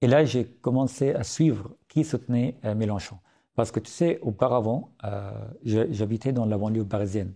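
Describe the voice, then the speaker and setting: A man with an Arabic accent, medium pitch and a dark, mellow, somewhat breathy tone, at a moderate pace with ordinary pitch variation over a quiet background. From Syria. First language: Arabic (speaking French). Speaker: writer and journalist. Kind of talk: podcast interview. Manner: hesitant, many fillers.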